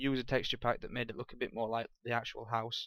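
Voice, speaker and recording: The speaker has an English accent. The pace is very fast. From England. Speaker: gaming YouTuber. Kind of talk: game walkthrough commentary. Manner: halting.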